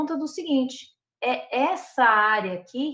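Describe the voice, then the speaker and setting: A high female voice whose pitch varies in an ordinary way. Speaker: professor and lobbying expert. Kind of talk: lecture.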